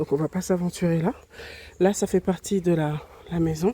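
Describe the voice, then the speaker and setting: A woman's fairly even intonation, dry and close with no echo, in a very clean recording with a silent background. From Réunion. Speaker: travel vlogger. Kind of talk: vlog home tour. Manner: soft-spoken; halting.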